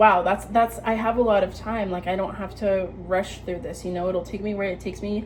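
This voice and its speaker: Against noticeable background noise, a woman talks at a fairly quick pace with hardly any pauses, in a monotone with flat intonation. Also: medium pitch for a woman. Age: 20s. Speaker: vlogger giving life advice. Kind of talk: casual monologue vlog. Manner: casual, filler-heavy.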